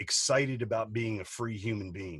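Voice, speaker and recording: In a very clean recording with a silent background, a man at medium pitch sounds animated and somewhat breathy, speaking at a moderate pace. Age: 40s. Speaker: business coach and entrepreneur. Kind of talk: podcast interview.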